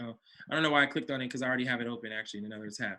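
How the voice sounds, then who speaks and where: A man speaks with a bright, sharp tone. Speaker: business coach. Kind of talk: online coaching session. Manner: fast; casual.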